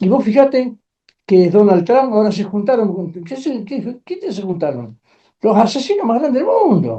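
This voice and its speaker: A high-pitched man with lively intonation at a moderate pace. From Argentina. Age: 80s+. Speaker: trade union leader. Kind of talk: interview. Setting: studio. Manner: animated.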